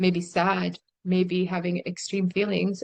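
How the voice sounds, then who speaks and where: Speaking at a fairly slow pace, a woman with a fairly low pitch and an American accent keeps a monotone, flat intonation. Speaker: vlogger. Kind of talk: personal testimony monologue. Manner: emotional.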